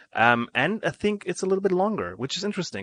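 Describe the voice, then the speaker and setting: A man with a German accent speaks with lively intonation in a dry, close sound with no echo against a quiet background. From Germany. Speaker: game streamer. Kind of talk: live gameplay commentary. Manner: hesitant, many fillers.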